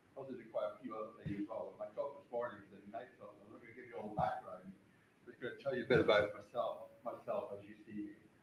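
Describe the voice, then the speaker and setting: Amid audible room echo, a man speaks very fast with hardly any pauses and big swings in loudness. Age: 70s. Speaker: club volunteer and veteran. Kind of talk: conference talk. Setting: stage with audience. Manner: halting.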